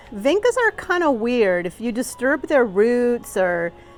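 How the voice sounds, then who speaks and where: A woman of fairly high pitch with very wide pitch swings, over music in the background. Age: 60s. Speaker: gardening youtuber. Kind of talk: casual garden tour vlog. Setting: outdoors in garden. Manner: chatty, meandering.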